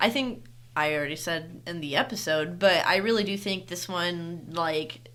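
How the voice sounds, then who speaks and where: A woman's fairly low, bright and sharp voice, with lively intonation at a fairly slow pace, amid audible room echo. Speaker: podcast co-host. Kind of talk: casual chat.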